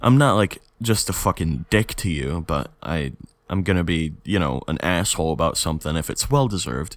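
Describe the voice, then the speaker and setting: At a moderate pace, a man is speaking. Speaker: podcast host. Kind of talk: casual monologue podcast. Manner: rambling with many fillers; halting with self-corrections.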